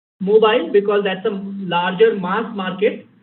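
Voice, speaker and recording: A man speaks with a Bengali accent. The room echo is audible. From India, Bengali-speaking. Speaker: game developer, guest lecturer. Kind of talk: lecture Q&A.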